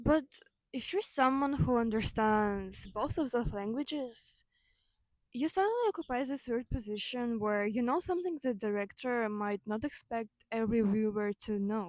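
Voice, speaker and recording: With a Ukrainian accent, a woman of fairly high pitch talks at a moderate pace with ordinary pitch variation. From Ukraine. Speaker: video essayist. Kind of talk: personal video essay. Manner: casual, with fillers and self-corrections.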